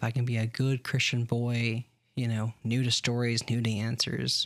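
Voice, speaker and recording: A man's medium-pitched voice with monotone, flat intonation at a moderate pace, in a very clean recording with a silent background. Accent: American. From US South, Alabama. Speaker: podcast co-host. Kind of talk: casual chat.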